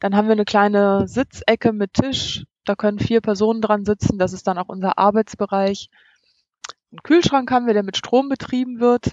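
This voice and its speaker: A woman speaks in an ordinary speaking voice, pitched fairly high. Her pace is moderate and her pitch variation ordinary. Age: 40s. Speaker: van-life traveler and blogger. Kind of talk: interview.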